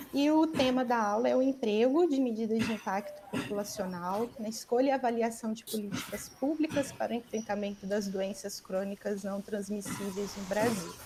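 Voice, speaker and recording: The speech moves at a moderate pace with hardly any pauses and ordinary pitch variation, over noticeable background noise. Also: woman, fairly high pitch for a woman. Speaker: academic job candidate. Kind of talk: lecture. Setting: video call.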